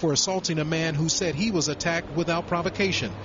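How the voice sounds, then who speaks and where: Noticeable background noise sits under a man speaking at a fairly quick pace with a fairly high pitch. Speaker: field news reporter. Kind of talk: 2006 TV news broadcast report. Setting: on location, remote from anchor. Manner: formal, brisk, even newsreader delivery.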